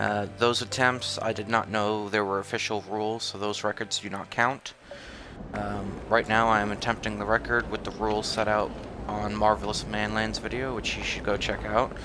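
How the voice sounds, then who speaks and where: Monotone, flat intonation amid noticeable background noise. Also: man, fairly low pitch for a man, moderate pace. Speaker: gaming streamer. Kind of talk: gameplay commentary. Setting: live stream with mic. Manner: casual, hesitant.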